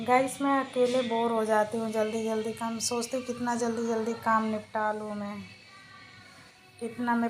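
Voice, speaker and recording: A soft-spoken woman talks in a monotone, flat way. Music plays in the background, and room echo is audible. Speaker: vlogger. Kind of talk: casual vlog chat. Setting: at home doing chores.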